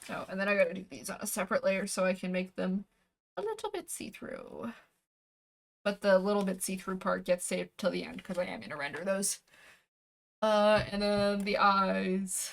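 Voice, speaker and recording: At a moderate pace, a woman speaks in a normal speaking voice at medium pitch with ordinary pitch variation. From Canada. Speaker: VTuber streamer and artist. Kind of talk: casual livestream chat while drawing. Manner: relaxed, chatty.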